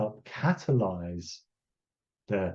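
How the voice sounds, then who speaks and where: A dark, mellow tone and somewhat breathy quality in a man's voice. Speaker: conservation scientist giving a talk. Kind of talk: lecture. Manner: slow; halting, many repetitions and fillers.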